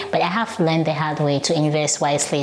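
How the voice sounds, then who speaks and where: A woman with a non-native accent at a very fast pace, over noticeable background noise. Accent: noticeable foreign. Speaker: nurse and real estate investor YouTuber. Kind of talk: casual vlog monologue. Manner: animated.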